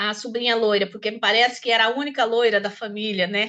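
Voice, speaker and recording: With a rural Brazilian accent, a woman speaks in a bright, sharp tone at a fairly high pitch against a quiet background. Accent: Brazilian countryside accent, still noticed. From Brazil, countryside interior. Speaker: discussion participant. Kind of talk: personal testimony in group discussion. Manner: halting, many repetitions.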